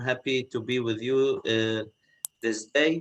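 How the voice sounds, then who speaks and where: A man with a non-native accent at a very slow pace. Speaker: archbishop. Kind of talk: panel presentation. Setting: video call. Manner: halting, many fillers.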